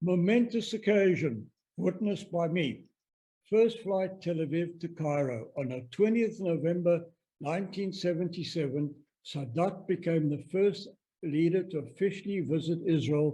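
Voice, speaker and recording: Speaking at a moderate pace with a South African accent, the voice has a dark, mellow tone and ordinary pitch variation. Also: man, high pitch for a man. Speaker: stamp collector presenter. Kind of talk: presentation lecture.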